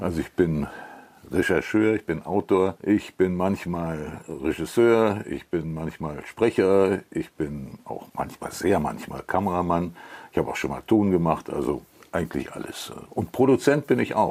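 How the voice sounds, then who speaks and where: This man's pitch is very deep and low, with ordinary pitch variation. He talks at a fairly slow pace. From Cologne, Germany. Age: 80s+. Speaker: TV documentary author and narrator. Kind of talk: interview. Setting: at home.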